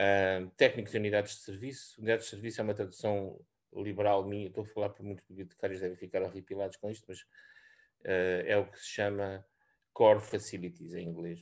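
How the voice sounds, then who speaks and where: A man talks at a fairly quick pace in a fairly low pitch. His intonation is flat and monotone against a quiet background. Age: 60s. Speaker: senior research scientist. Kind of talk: presentation. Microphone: video call.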